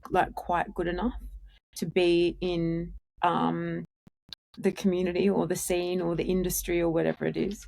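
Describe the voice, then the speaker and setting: A woman speaks with an Australian accent. Her pace is very slow. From Australia, Sydney. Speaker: musician in a duo. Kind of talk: podcast interview.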